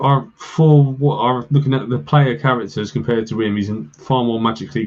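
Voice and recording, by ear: Here a voice reads aloud, sounding natural.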